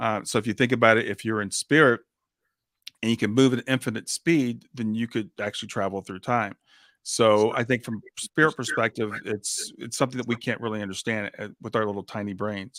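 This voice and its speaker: In a very clean recording with a silent background and a dry, close sound without echo, a man speaks in a plain, everyday voice at medium pitch, moving at a fairly quick pace with fairly even intonation. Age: 60s. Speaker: grief coach and podcast host. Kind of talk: interview conversation.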